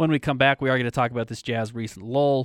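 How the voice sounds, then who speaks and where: A man of medium pitch speaks very fast. The recording is very clean with a silent background and a dry, close sound with no echo. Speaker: sports radio host. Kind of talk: casual sports talk radio. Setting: radio studio.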